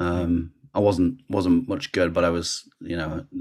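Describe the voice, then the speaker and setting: A man talks at a fairly slow pace with a Lancashire accent. The recording is very clean, with a silent background. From northern England, Rochdale, Lancashire. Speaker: sports journalist and communications manager. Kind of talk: casual interview chat.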